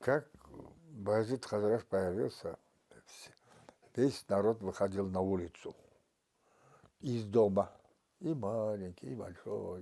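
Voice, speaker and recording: A man's dark, mellow voice at a fairly low pitch and a very slow pace. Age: 80s+. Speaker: elderly villager. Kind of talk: interview.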